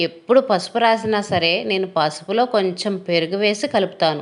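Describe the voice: The woman speaks at a medium pitch.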